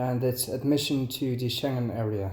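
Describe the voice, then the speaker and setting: Delivered at a fairly slow pace, this voice has a dark, mellow tone. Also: man. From Netherlands. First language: Dutch. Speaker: travel vlogger. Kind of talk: casual commentary to camera.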